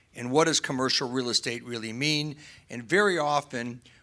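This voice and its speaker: Loud and bright with a sharp tone, a man speaks in an American accent at medium pitch and a moderate pace, with ordinary pitch variation, on a very clean recording with a silent background. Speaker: real estate developer panelist. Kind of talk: panel discussion.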